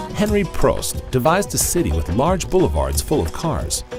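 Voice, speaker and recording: Music can be heard behind the speech. The man keeps a moderate pace. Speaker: voice-over artist. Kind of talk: documentary narration.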